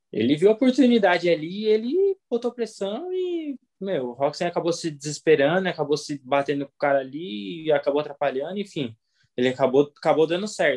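Moving at a fairly quick pace, a man talks with a high pitch and very wide pitch swings. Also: dry, close sound with no echo. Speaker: motocross racer. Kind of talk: interview.

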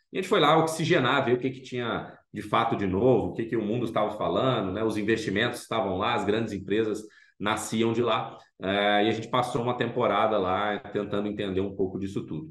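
Audible room echo surrounds a man speaking at a fairly quick pace, his fairly low pitch showing ordinary variation. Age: 40s. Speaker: food startup founder. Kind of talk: interview.

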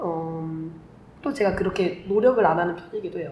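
Noticeable background noise runs through the clip. The room echo is audible. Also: woman. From Korea, Vietnam and Germany. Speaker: podcast co-host. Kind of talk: casual chat.

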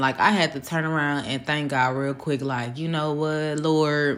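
Her pitch very deep and low, the woman keeps to a moderate pace. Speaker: solo podcaster sharing faith-based reflections. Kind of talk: casual solo monologue, devotional talk. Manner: laughs often, informal.

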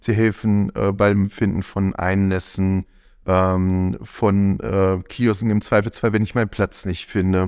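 A man's very slow, monotone, flat delivery on a very clean recording with a silent background. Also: fairly low pitch for a man. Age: 40s. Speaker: volunteer press team lead. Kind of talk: interview. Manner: hesitant, many fillers.

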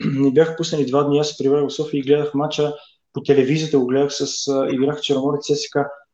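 At a moderate pace, a man speaks. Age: 40s. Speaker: professional footballer. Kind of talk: casual interview. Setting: Facebook live video.

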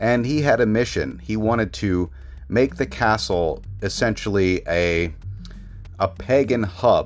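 Music plays in the background. The speech is fairly slow, with lively intonation. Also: man. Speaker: podcast host. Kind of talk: scripted-style horror narration, ominous storytelling. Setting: home studio near traffic noise.

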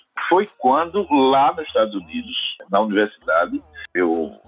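A man speaks at a very slow pace. Music plays behind him. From Sergipe, northeastern Brazil. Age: 60s. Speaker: computer science professor. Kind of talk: casual interview.

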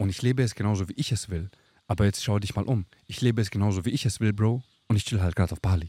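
Very fast and somewhat breathy, a man with a fairly low pitch and a dark, mellow tone speaks with ordinary pitch variation in a dry, close sound with no echo. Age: 30s. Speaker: coach. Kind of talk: casual chat. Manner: animated.

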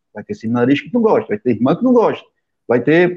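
Very wide pitch swings run through this voice at a fairly quick pace. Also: man. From Sertão of Pernambuco, Brazilian Northeast. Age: 50s. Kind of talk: interview conversation.

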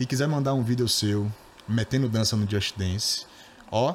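At a moderate pace, a man with an unremarkable speaking voice talks in a medium pitch. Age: 20s. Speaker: podcast host. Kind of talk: casual interview.

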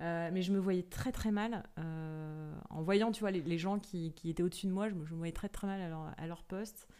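A woman's dark, mellow voice, fairly low in pitch, with fairly even intonation, a moderate pace and hardly any pauses. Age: 30s. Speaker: business executive in venture capital. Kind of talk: interview. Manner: hesitant, many fillers and repetitions; casual, conversational.

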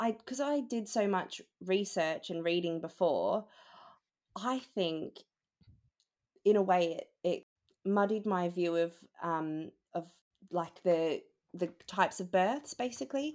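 With an Australian accent, a woman at a medium pitch speaks at a fairly slow pace with lively intonation and long, frequent pauses. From Australia (Melbourne). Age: 20s. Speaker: new mother, HR assistant. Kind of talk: casual interview, personal story.

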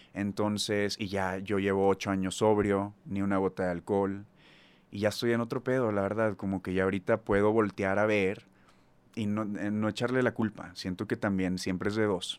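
A man's fairly low, flat monotone at a moderate pace, in a very clean recording with a silent background. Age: 30s. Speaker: singer. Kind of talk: casual chat.

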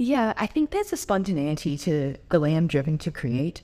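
A woman with an Australian accent speaks at a moderate pace. Her voice is very deep and low, with a dark, mellow tone. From Adelaide, South Australia. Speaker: university student. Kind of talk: interview, personal storytelling.

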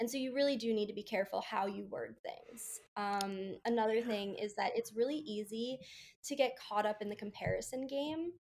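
A woman with an American accent talks at a fairly high pitch with ordinary pitch variation. It is a plain, everyday voice. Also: moderate pace. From US, Baltimore. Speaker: food blogger. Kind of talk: casual interview.

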